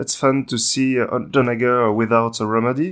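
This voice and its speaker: A man speaks in a French accent at a fairly slow pace and medium pitch. The recording is very clean, with a silent background. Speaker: tabletop game channel host. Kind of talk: casual gaming review discussion. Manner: halting, many filler sounds.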